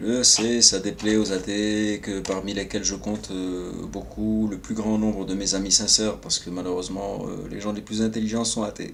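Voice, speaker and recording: Audible room echo surrounds a man with a fairly low pitch. He talks at a moderate pace with monotone, flat intonation and hardly any pauses. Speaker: vlogger. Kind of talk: personal monologue. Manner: soft-spoken; hesitant.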